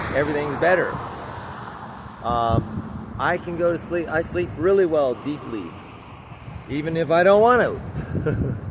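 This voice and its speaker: A man talks with lively intonation at a fairly high pitch. Noticeable background noise runs under his voice. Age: 60s. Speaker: cyclist vlogger. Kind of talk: casual vlog monologue. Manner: halting, repetitive.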